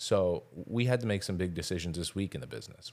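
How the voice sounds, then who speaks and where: Using vocal fry, a man talks at a moderate pace with ordinary pitch variation. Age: 30s. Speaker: podcast host and dog grooming business owner. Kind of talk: casual solo podcast talk.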